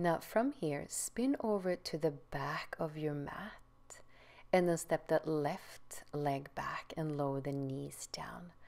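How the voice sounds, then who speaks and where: Woman's very deep, low voice in a calm, gentle tone, at a very slow pace with ordinary pitch variation. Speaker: yoga teacher. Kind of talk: guided yoga instruction. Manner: calm, gentle, clear, measured cues; slow, soothing. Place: home room.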